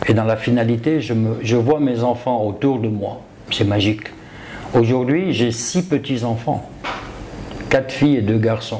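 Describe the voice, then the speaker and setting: Medium-pitched male speech at a fairly slow pace, with long, frequent pauses, ordinary pitch variation, audible room echo and noticeable background noise. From Ivory Coast. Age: 60s. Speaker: self-taught property developer. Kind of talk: interview.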